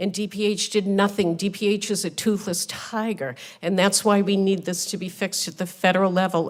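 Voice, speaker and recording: Her pitch is medium for a woman, and she speaks at a moderate pace. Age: 60s. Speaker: hospital nurse testifying as a witness. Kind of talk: testimony at a Senate hearing. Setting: Senate committee hearing room. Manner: animated, indignant.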